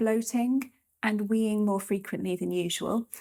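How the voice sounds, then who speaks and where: The voice has a dark, mellow tone and fairly even intonation, moving at a moderate pace on a very clean recording with a silent background. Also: woman. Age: 30s. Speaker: doctor. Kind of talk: testimony and health advice.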